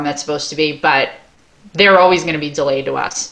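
Her pitch very deep and low, a woman speaks at a fairly quick pace in a bright, sharp tone with ordinary pitch variation. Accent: American. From Long Island, New York. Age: 40s. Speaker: dance studio owner. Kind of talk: casual interview.

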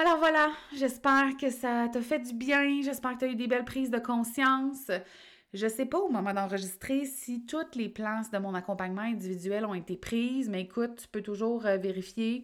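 Her high-pitched voice moves at a moderate pace, as this woman shows ordinary pitch variation. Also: very clean recording, silent background. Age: 30s. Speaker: life coach and podcast host. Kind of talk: solo podcast monologue. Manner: casual, conversational.

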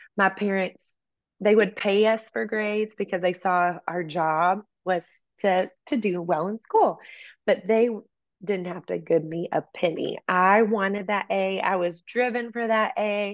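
With an American accent, a woman talks at a fairly slow pace in a plain, everyday voice, her medium pitch showing ordinary pitch variation. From East Texas. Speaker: worship leader and author. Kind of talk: interview conversation. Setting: video call.

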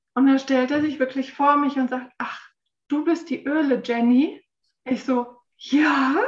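A high-pitched woman at a fairly slow pace, flat and monotone, with long, frequent pauses. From Frankfurt, Germany. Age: 40s. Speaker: essential oils consultant and massage therapist. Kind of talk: casual interview.

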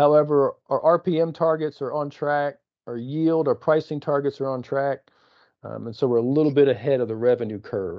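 A man's plain, everyday voice, fairly high in pitch with ordinary pitch variation, at a fairly quick pace. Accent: American. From East Texas. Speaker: company executive and podcast host. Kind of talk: casual business update chat.

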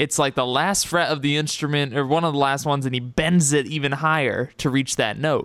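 Here is a man with an ordinary speaking voice. His pitch is fairly high and his pace moderate. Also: very clean recording, silent background. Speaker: podcast host. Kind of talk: casual podcast interview.

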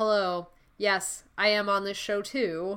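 In a put-on, robotic character voice that sounds female, someone speaks at a fairly slow pace and medium pitch, in a very clean recording with a silent background. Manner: stiff, robotic.

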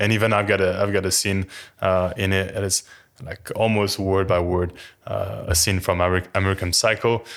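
A man's fairly quick, flat monotone in a French accent, on a very clean recording with a silent background. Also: fairly low pitch for a man. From France. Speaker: personal trainer. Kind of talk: casual chat. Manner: halting, many fillers.

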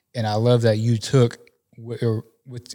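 A man's voice at medium pitch on a very clean recording, the background silent. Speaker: podcast host. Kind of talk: casual interview. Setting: studio. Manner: casual, enthusiastic.

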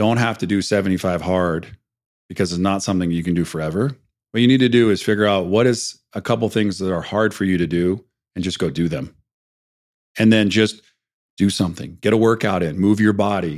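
A man talks fairly quickly in a normal speaking voice, fairly low in pitch with ordinary pitch variation. The recording is very clean with a silent background. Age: 50s. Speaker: entrepreneur and mentor. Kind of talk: casual interview.

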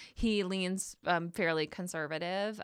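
On a very clean recording with a silent background, a woman with an American accent speaks at a moderate pace with fairly even intonation. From Michigan. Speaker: journalist. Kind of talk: casual chat. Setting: studio.

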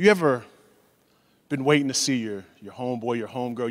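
With an American accent, a man talks at a fairly quick pace in an animated tone. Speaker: pastor. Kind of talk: sermon.

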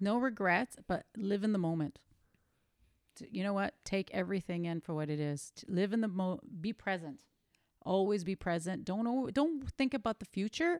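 With a Canadian accent and an ordinary speaking voice, a woman at medium pitch talks at a moderate pace with lively intonation, dry and close with no echo. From Canada (Toronto, Greek family). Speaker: mother of a host. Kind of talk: casual chat.

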